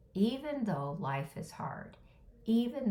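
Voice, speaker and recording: The woman's voice is somewhat breathy, with a dark, mellow tone. She talks at a very slow pace. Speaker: caregiver life coach. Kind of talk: motivational talk to camera.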